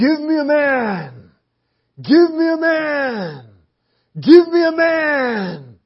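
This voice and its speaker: A put-on character voice speaks in a high pitch at a very slow pace. Long pauses come often. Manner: shouting, calling out.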